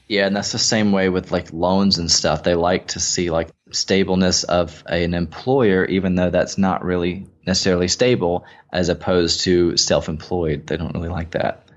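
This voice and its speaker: A man speaks with a very deep, low pitch. His intonation stays fairly even at a moderate pace. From Mississippi. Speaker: affiliate marketing entrepreneur. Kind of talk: interview. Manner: casual, filler-heavy.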